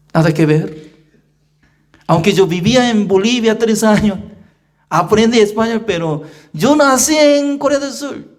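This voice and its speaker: With audible room echo, a man talks at a fairly slow pace in a high pitch, leaving long, frequent pauses. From South Korea. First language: Korean (speaking Spanish). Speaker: pastor. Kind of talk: sermon. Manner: simple, non-native phrasing with repetition.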